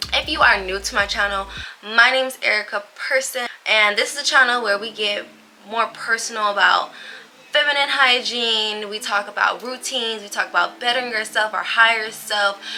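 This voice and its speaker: A woman talks at a moderate pace with a fairly high pitch and fairly even intonation. Noticeable background noise is present. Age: 20s. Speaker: lifestyle vlogger. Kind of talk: casual vlog talk. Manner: chatty, filler-heavy.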